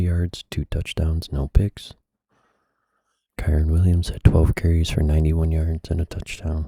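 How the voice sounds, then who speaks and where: A man speaks at a moderate pace with a very deep, low pitch and a somewhat breathy, dark, mellow tone. His delivery is relaxed with monotone, flat intonation, and the sound is dry and close with no echo. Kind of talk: ASMR sports recap and picks, casual talk to camera. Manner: soft-spoken, relaxed.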